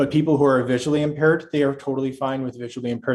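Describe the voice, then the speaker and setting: A man's medium-pitched voice races at a very fast pace, with fairly even intonation. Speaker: sign language interpreter. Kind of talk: casual chat.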